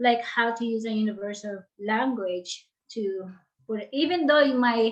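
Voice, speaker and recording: A woman's fairly high pitch with ordinary pitch variation, a fairly slow pace, and a Filipino accent. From Philippines. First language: Tagalog. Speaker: author and life coach. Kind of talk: interview. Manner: halting.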